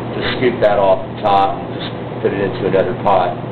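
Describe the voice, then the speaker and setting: A man with an American accent talks amid audible room echo and noticeable background noise. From Texas. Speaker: butcher and caterer. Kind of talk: tutorial. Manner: casual, frequent filler words.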